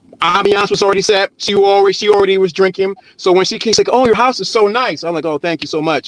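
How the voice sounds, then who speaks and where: The sound is dry and close, with no echo, but noticeable background noise. The speech is very fast, with ordinary pitch variation. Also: man, high pitch for a man. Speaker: panel member giving dating advice. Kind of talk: casual panel chat.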